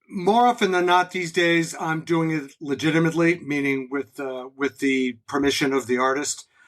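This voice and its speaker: With an American accent and a fairly high pitch, a man has an unremarkable speaking voice. He talks at a moderate pace with ordinary pitch variation and hardly any pauses. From New England, New Haven Connecticut area. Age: 60s. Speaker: concert taper, music fan. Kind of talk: casual interview.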